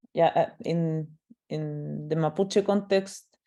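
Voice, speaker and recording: With a Chilean accent, a woman speaks very slowly at a very deep, low pitch, in a dark, mellow tone with fairly even intonation. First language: Spanish. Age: 20s. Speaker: artist. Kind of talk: panel discussion. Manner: halting, many fillers.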